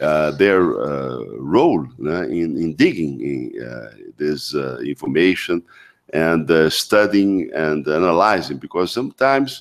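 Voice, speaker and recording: A man with a very deep, low pitch and lively intonation, speaking very slowly against a quiet background. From Brazil. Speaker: diplomat moderating the event. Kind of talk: formal moderation of lecture. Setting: auditorium with audience. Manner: halting. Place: hall. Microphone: podium.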